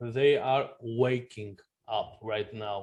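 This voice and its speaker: A man talks with a non-native accent. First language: not English. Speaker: blockchain gaming website co-founder. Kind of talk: interview. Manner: halting, many restarts.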